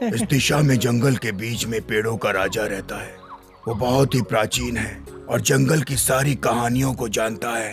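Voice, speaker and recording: Put-on character voice from a man, medium pitch, moderate pace, clear music in the background. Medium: fan dub. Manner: calm, reassuring.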